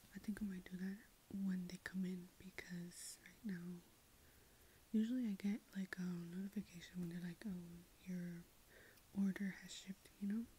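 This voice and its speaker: Whispering and soft-spoken at a moderate pace, the voice leaves long, frequent pauses over light background noise. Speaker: ASMR creator. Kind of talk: ASMR ramble. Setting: filming in room at night. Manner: soft-spoken whisper; halting, many ums. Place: home room.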